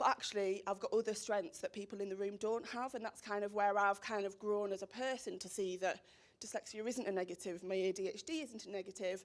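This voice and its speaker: The speaker talks at a fairly quick pace in a strong Teesside accent. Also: woman, medium pitch for a woman. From northern England, Teesside (Stockton). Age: 20s. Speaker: social media professional, speaker. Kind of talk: presentation to a school audience. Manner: energetic.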